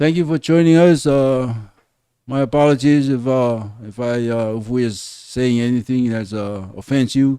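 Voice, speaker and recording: The voice belongs to a man with medium pitch and ordinary pitch variation. His tone is dark and mellow. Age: 60s. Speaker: podcast co-host. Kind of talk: casual chat.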